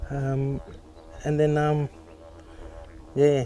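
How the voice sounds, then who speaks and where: Noticeable noise sits in the background. Through it, a man talks. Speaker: former smoker sharing quit story. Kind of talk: interview answer.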